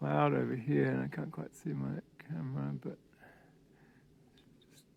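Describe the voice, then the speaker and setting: In an Australian accent, a man talks with very wide pitch swings. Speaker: hiking vlogger. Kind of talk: casual vlog narration. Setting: outdoors.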